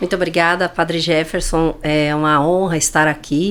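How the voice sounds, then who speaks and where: Moving at a moderate pace, a woman speaks in an unremarkable speaking voice with a fairly low pitch. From Paraná, Brazil (Francisco Beltrão). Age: 60s. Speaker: business leader. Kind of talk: podcast interview.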